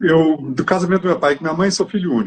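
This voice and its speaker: A man is speaking. His pace is fairly quick. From Brazil, southern Minas Gerais. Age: 60s. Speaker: actor. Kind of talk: interview.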